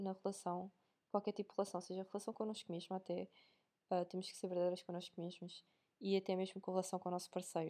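A woman with a European Portuguese accent speaks in a dark, mellow tone. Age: 20s. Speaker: podcaster. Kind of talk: casual monologue. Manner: casual, chatty.

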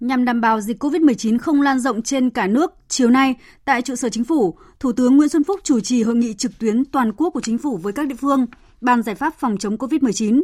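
A woman with a high pitch talks at a fairly quick pace. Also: ordinary pitch variation, dry, close sound with no echo. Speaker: radio news anchor. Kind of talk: news reading. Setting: studio. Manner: formal.

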